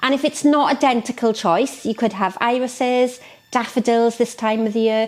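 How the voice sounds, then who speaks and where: A woman with a Welsh accent speaks at a moderate pace. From Wales, South Wales. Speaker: florist. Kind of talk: tutorial. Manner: animated.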